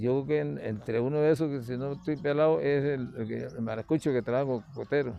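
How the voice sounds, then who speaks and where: With lively intonation and hardly any pauses, a man talks in a normal speaking voice. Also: medium pitch for a man, fairly quick pace. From Venezuelan Andes (Mérida). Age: 60s. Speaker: retired teacher. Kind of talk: interview.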